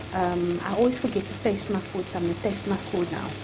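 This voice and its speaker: A woman's speech comes through audible room echo, with noticeable background noise underneath. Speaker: food vlogger. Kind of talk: cooking tutorial. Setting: home kitchen. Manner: loud; animated.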